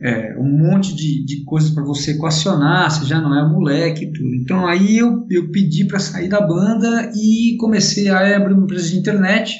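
A man's high-pitched voice with ordinary pitch variation at a moderate pace, amid audible room echo and noticeable background noise. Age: 40s. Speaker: racing driver and driving instructor. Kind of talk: casual interview.

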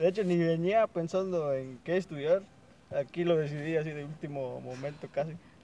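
Fairly high-pitched man's voice, dark and mellow in tone, moderately paced, with fairly even intonation. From Veracruz, Mexico (Huasteca). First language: Nahuatl (speaking Spanish). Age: 20s. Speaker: student, native Nahuatl speaker. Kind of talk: interview.

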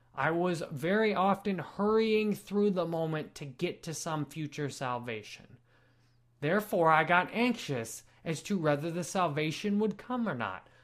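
Very clean, silent-background audio with a fairly slow delivery. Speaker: video creator. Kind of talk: unscripted personal reflection video. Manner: slow, measured pace; deliberate, unscripted.

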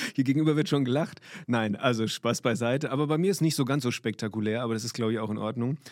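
A man speaks at a very fast pace. His tone is animated. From Limburg, Hesse. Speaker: basketball referee. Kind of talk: interview.

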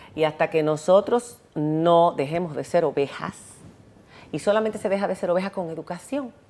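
A woman talks at a moderate pace with a fairly low pitch, a dark, mellow tone and ordinary pitch variation. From Dominican Republic. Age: 50s. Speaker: television presenter. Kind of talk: interview.

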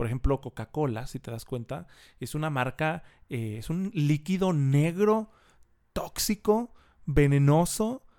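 A man's fairly high, dark, mellow voice with a Mexican accent at a fairly slow pace, dry and close with no echo, on a very clean recording with a silent background. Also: lively intonation, big swings in loudness. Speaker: personal branding consultant. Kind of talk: casual interview.

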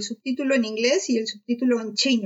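The woman's voice sits high in pitch. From Peru. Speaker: doctoral student. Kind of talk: casual chat.

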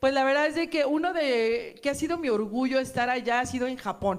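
A woman talks at a moderate pace. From Mexico City. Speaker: singer. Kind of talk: casual chat.

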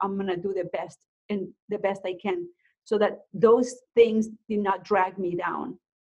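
A woman speaks at a moderate pace with a Mexican accent. Her pitch sits in the medium range, and her intonation stays fairly even. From Mexico (Guerrero coast, then Mexico City). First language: Spanish. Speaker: realtor and nonprofit founder. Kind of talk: interview, personal story.

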